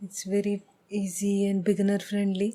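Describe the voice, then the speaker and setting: Soft-spoken, the voice has a dark, mellow tone. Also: woman. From India. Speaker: painter. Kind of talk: casual talk to camera.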